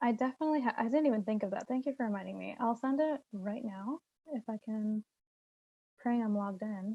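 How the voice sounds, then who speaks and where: This woman has a fairly high, dark and mellow voice that is somewhat breathy, with ordinary pitch variation and a dry, close sound with no echo. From Brooklyn. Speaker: presenter wrapping up a meeting. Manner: fast talker.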